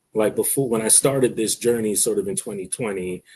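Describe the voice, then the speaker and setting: A somewhat breathy, dark, mellow voice with an American accent speaks at a very fast pace. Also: man. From New York, South Bronx. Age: 40s. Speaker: guest who stutters. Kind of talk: interview conversation. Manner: stutters; casual, repetitive phrasing.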